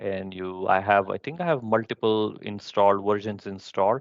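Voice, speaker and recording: A man with an unremarkable speaking voice talks at a fairly quick pace and fairly low pitch. The sound is dry with no echo, and the background is quiet. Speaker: presenter at a user group session; presenter. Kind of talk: technical presentation with live demo. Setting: live online session. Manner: many filler words. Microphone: headset.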